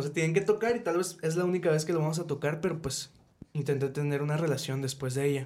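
A man's somewhat breathy voice sits fairly high in pitch, with ordinary pitch variation. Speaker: podcast host. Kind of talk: personal testimony; casual chat.

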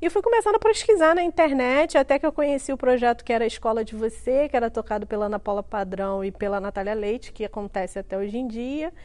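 Over noticeable background noise, a woman with a high pitch races along at a very fast pace with lively intonation and hardly any pauses. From Rio de Janeiro, Brazil (Duque de Caxias). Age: 30s. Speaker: entrepreneur and author. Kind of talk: interview testimony.

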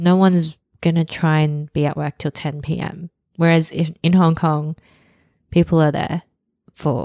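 In an Australian accent, a woman speaks at a fairly slow pace with a very deep, low pitch and monotone, flat intonation. Long, frequent pauses break up her speech, and the recording is very clean with a silent background. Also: dry, close sound with no echo. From Sydney, Australia. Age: 30s. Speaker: podcast co-host. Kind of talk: casual chat.

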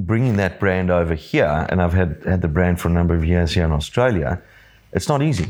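A man with a South African accent speaks at a very deep, low pitch with ordinary pitch variation and very even loudness, on a very clean recording with a silent background. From South Africa (Johannesburg). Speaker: business owner. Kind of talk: casual chat.

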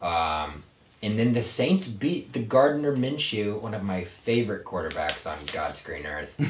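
With an American accent, a man speaks fairly slowly at a fairly low pitch, making very wide pitch swings, amid audible room echo and noticeable background noise. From Virginia. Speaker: podcast host. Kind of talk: casual chat. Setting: small closet in an apartment. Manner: animated.

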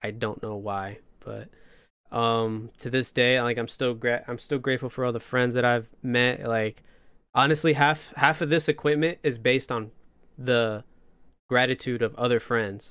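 A man's ordinary speaking voice, medium in pitch with fairly even intonation and a moderate pace, in a very clean recording with a silent background. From northern Indiana, US Midwest. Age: 20s. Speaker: podcast host, interviewed as guest. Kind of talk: casual interview chat.

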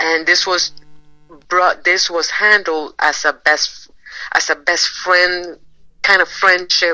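A woman speaks in a fairly low pitch with a bright, sharp tone. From Caribbean islands. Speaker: podcast co-host. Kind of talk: casual chat.

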